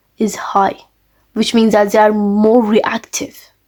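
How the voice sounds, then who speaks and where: With a non-native accent, the woman talks. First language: not English. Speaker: chemistry teacher. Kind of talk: lecture. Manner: halting.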